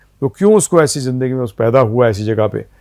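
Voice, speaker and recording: A man's medium-pitched voice, an ordinary speaking voice, shows ordinary pitch variation. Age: 60s. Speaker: spiritual teacher. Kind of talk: interview.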